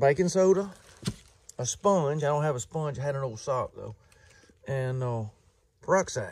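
With light noise in the background, a man speaks at a moderate pace and with ordinary pitch variation. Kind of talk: casual vlog chat. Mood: pleased, enthusiastic. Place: garden. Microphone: phone near.

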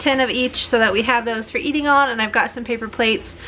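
Over light background noise, a woman speaks at a high pitch. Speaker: family vlogger. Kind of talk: casual vlog chat. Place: home room. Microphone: phone near.

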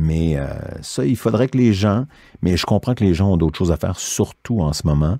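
A man's dark, mellow voice in a dry, close sound with no echo. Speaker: voice actor. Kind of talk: interview.

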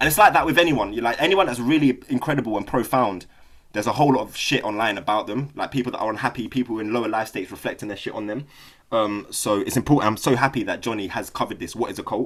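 Speaking very fast with a London accent, a man keeps a medium pitch and ordinary pitch variation. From South London, England. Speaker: Buddhist study group leader. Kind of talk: casual talk and reading aloud. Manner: halting, many fillers.

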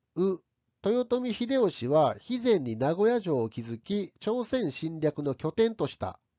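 Speaking at a very slow pace, a man with a high pitch makes very wide pitch swings. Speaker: history teacher. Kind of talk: lecture. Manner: formal.

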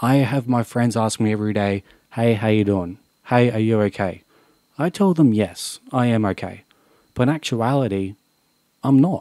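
Over a quiet background, a man with an Australian accent speaks at a moderate pace in a dark, mellow, medium-pitched voice with ordinary pitch variation and long, frequent pauses, the sound dry with no echo. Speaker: YouTuber. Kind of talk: vlog monologue. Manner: unscripted, earnest. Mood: serious, emotional, frustrated. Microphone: studio mic.

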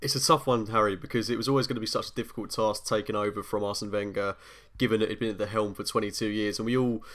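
A man speaks at a very fast pace in a fairly low pitch, his intonation fairly even, over a quiet background. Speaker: remote podcast guest. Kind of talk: interview answer.

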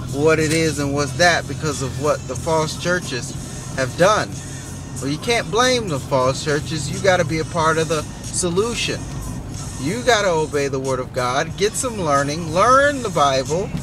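Music plays in the background as a man speaks at a moderate pace with lively intonation. The sound is dry, with no echo. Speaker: driver vlogger. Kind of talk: casual vlog chat. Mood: earnest, preachy then warm. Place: car. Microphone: phone near.

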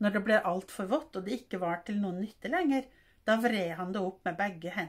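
The speaker does plain reading aloud. Pitch rises and falls an ordinary amount.

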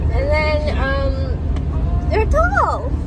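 A woman's voice sounds dry, with no echo. Loud background noise runs behind her. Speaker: vlogger. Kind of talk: casual vlog chat. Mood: playful, giggly, shy. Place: car. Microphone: phone near.

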